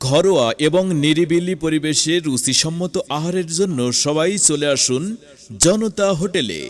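A man with a fairly high pitch, ordinary pitch variation and a normal speaking voice. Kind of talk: loudspeaker advertising announcement.

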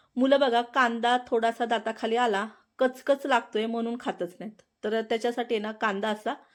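In a very clean recording with a silent background, a woman speaks at a fairly high pitch with monotone, flat intonation. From Maharashtra, Satara district. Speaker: cooking channel host. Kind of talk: cooking tutorial. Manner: chatty, conversational.

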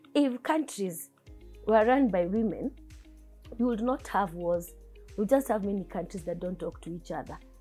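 At a moderate pace, a woman speaks over faint background music. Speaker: candidate. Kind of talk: interview answer. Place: studio.

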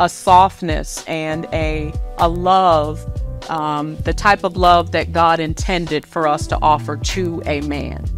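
Over clear music in the background, a woman speaks at a very slow pace. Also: dry sound with no echo. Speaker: author and minister. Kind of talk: book promotion talk. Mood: warm, earnest. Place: office. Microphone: lapel.

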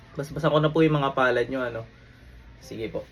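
At a fairly quick pace, a man with medium pitch and a somewhat breathy voice keeps his intonation fairly even. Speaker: faith healer. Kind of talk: fervent deliverance prayer, commanding and declaratory, invoking divine names. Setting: online video recording. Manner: intense, forceful, rapid-fire incantation; casual, conversational, chatty when explaining.

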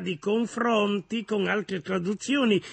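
Fairly slow speech is heard over a quiet background. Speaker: guest. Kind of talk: interview answer. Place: studio.

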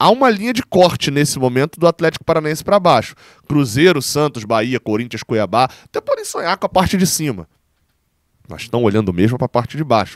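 A man's fairly high voice with very wide pitch swings and a fairly quick pace, dry with no echo and a quiet background. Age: 20s. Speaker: sports journalist and fan channel host; sports journalist, fan channel host. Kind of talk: football round-up commentary. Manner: casual, conversational. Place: home room.

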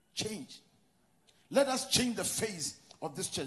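A man with a Ghanaian accent speaks in an animated tone at a high pitch and a moderate pace. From Ghana, Western region. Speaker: pastor. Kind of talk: sermon. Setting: church.

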